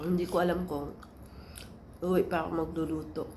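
A woman speaks at a moderate pace in a fairly low pitch, her tone dark and mellow. Vocal fry comes through, and the room echo is audible. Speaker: vlogger, domestic helper or caregiver. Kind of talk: casual vlog.

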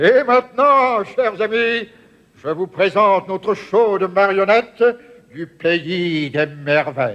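Put-on character voice from a man, high-pitched, at a fairly slow pace. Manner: mysterious, welcoming.

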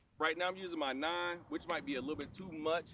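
A man with an American accent talks at a very fast pace in a bright, sharp tone. The sound is dry with no echo, and there is noticeable background noise. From South Florida (Hollywood, Florida); Florida. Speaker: retired NFL player. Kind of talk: casual chat on golf course. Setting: outdoors on golf course. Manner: animated.

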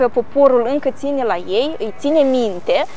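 A woman talks fairly slowly at a high pitch, in a dry sound with no echo and light background noise. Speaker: tour guide. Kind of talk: tour guide commentary. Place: street.

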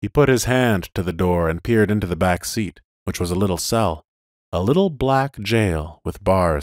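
The voice is a natural reading voice with lively intonation. The background is quiet.

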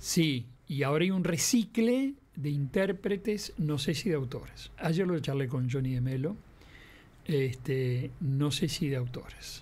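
A somewhat breathy man with a fairly high pitch speaks at a fairly slow pace with lively intonation. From Uruguay. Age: 70s. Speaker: veteran radio and TV broadcaster; interview guest. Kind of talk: interview. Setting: radio studio. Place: studio. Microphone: studio mic.

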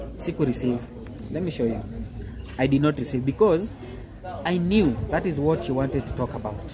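Background noise is noticeable here. Over it, a man talks at a moderate pace. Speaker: vlogger telling a story. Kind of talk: casual vlog chat. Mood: frustrated, complaining storytelling. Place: garden. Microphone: phone near.

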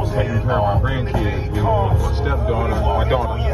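A man at a fairly slow pace over loud music in the background. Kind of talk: casual vlog chat. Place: car. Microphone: phone near.

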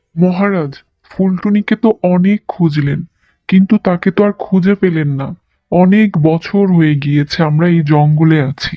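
A cartoonish character voice speaks at a moderate pace. Its pitch sits in the middle range. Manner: respectful, dutiful.

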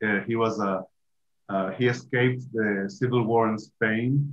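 A man talks at a moderate pace with fairly even intonation. His pitch sits fairly low.

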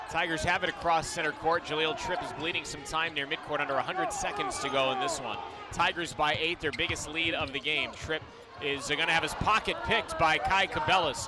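A man at a fairly quick pace, dry sound with no echo, and loud background noise behind him. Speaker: play-by-play announcer. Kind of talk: sports commentary. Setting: arena broadcast. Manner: animated, urgent. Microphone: headset.

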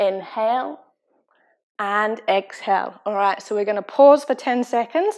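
A woman speaks in an unremarkable speaking voice at a moderate pace, her pitch fairly high, against a quiet background. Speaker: yoga fitness instructor. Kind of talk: guided yoga class instruction. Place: gym.

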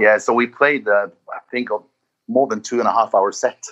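A man with a Norwegian accent speaks at a fairly quick pace. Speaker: singer in a metal band. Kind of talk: casual interview.

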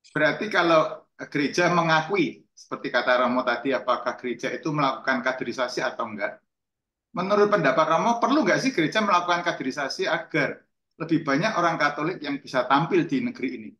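In a room with audible echo but a quiet background, a man talks at a very fast pace with a fairly high pitch, lively intonation and a bright, sharp tone. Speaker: audience member. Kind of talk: question in discussion. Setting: video call. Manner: casual. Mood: polite, inquisitive. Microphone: video call.

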